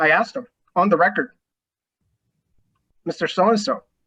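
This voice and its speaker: This speaker has a Spanish accent. The delivery comes at a very fast pace. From Mexico. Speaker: lawyer. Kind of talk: panel discussion.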